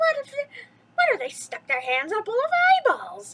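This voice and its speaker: An excited, squeaky put-on character voice from a woman, extremely high in pitch, cackling at a fairly quick pace. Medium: read story. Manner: cackling, excited.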